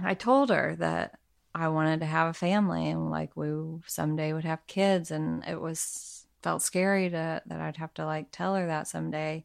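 At a moderate pace and with a slight Southern US accent, the speaker talks over a quiet background. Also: woman. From Arkansas. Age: 30s. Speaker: podcast co-host, new parent. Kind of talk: casual chat. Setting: home living room.

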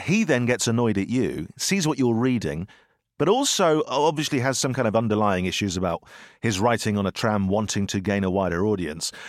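Lively intonation comes with a British accent at a fairly quick pace. Loudness stays very even in a very clean recording with a silent background. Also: man, medium pitch for a man. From Britain. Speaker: podcast host and author. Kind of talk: casual chat.

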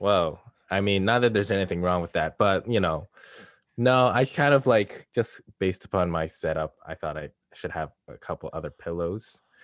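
With a dry, close sound, no echo and a quiet background, a man talks at a moderate pace in a normal speaking voice, fairly low in pitch with ordinary pitch variation. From Canada. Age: 20s. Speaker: podcast host. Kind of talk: casual chat.

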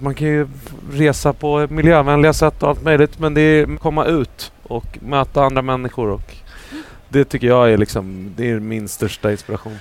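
A man talks at a moderate pace in a fairly high voice with ordinary pitch variation, noticeable background noise behind him. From Sweden. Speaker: singer and percussionist. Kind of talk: casual chat. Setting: stage with audience.

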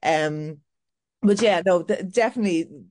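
A woman speaks with an Irish accent and lively intonation at a fairly low pitch. The background is quiet. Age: 40s. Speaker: milliner and fashion boutique owner. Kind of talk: casual interview chat. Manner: halting with frequent fillers and repetitions.

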